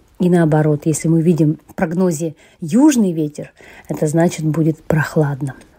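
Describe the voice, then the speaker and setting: Fairly low pitch and fairly even intonation from a woman at a moderate pace, with noticeable background noise. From Yakutia, Russia. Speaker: emigrant, former English teacher. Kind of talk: interview.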